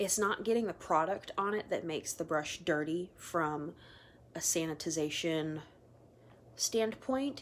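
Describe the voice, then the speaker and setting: A woman speaks at a fairly slow pace in a fairly low pitch, with lively intonation. It is a plain, everyday voice. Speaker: makeup artist. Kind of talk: casual tutorial vlog. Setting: at home, sitting on the floor.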